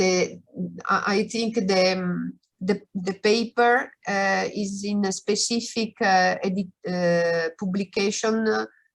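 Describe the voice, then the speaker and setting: Very slow, monotone delivery with flat intonation in an Italian accent. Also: woman, medium pitch for a woman. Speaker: researcher. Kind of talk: Q&A after a lecture. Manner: halting.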